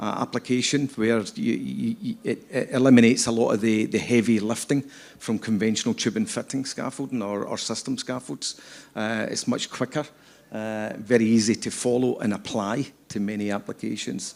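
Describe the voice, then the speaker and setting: Recorded very cleanly against a silent background, a man with a Scottish accent speaks at medium pitch and a moderate pace with fairly even intonation. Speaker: scaffolding company executive. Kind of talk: panel interview. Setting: stage with audience. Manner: halting, many repetitions.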